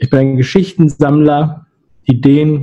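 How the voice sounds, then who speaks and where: The voice is dark and mellow in tone, somewhat breathy, and moves at a moderate pace. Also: man. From Hamburg area, Germany. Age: 30s. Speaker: agency founder and YouTuber. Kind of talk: interview.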